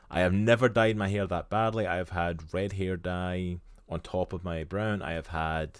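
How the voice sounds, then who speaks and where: In a Scottish accent, a man speaks at a moderate pace with a very deep, low pitch and fairly even intonation on a very clean recording with a silent background. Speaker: streamer and podcast co-host. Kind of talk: casual chat. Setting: live stream.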